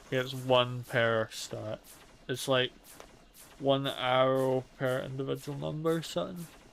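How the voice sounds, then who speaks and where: A man at a medium pitch with ordinary pitch variation, noticeable background noise. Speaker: gaming streamer. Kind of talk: let's play commentary. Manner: slurred, sounds drunk. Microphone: mic software issues.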